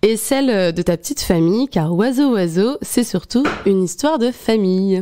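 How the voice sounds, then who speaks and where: Her voice has a dark, mellow tone at a fairly high pitch. The woman speaks fairly slowly with lively intonation. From Paris region. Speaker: podcast host. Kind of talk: interview.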